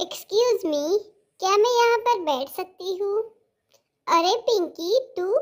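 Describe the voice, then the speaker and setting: A woman speaks in a squeaky, cartoonish character voice at an extremely high pitch. Her intonation is lively, her pace moderate, and she leaves long, frequent pauses. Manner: emotional, plaintive.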